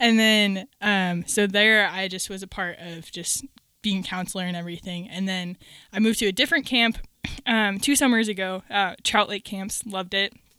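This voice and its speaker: In a very clean recording with a silent background, a woman with an American accent speaks in a bright, sharp tone with ordinary pitch variation. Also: medium pitch for a woman, moderate pace, big swings in loudness. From Minnesota. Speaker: ministry photographer and event coordinator. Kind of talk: casual chat.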